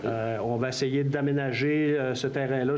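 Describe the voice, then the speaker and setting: With a Quebec accent, a man speaks at a moderate pace and medium pitch in monotone, flat intonation, with audible room echo. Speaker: mayor chairing council meeting. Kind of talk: public meeting Q&A. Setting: council hall with audience.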